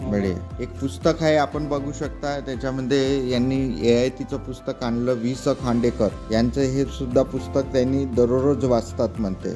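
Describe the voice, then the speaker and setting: Music plays in the background behind a voice with ordinary pitch variation. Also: man, medium pitch for a man. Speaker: podcast host / interviewer. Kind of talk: interview questions in a village. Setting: outdoors, rural village.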